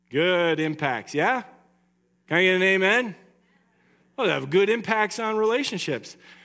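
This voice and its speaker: On a very clean recording with a silent background, a man uses a raised, projected voice with high pitch and a bright, sharp tone, leaving long, frequent pauses. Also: lively intonation, moderate pace. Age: 40s. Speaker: pastor. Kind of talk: sermon.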